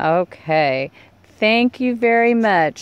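A woman is speaking. The sound is dry, with no echo. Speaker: fishing resort host. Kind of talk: casual talk to camera. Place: car. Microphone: phone near.

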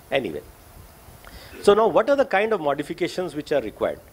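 A man speaks with very wide pitch swings. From India. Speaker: public health doctor and activist; speaker. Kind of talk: lecture. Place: meeting room. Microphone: podium.

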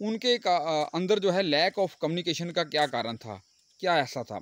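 A man speaks in a high voice at a moderate pace. The recording is very clean, with a silent background. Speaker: teacher. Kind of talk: lecture.

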